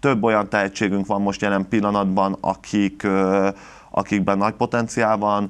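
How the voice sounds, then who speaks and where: A man speaks in a flat monotone at a moderate pace, his fairly low voice kept at a very even loudness. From Hungary. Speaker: taekwondo national team head coach. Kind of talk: TV sports interview. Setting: TV studio. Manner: halting, many repetitions. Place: studio.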